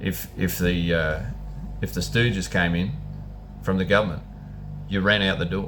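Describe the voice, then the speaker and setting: Fairly quick speech with ordinary pitch variation and audible room echo. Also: man. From New Zealand. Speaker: vlogger, former butcher. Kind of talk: casual monologue. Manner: halting, repetitive.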